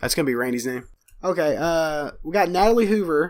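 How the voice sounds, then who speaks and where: On a very clean recording with a silent background, a man speaks at a moderate pace in a fairly high pitch with ordinary pitch variation. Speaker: podcast co-host. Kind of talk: casual chat.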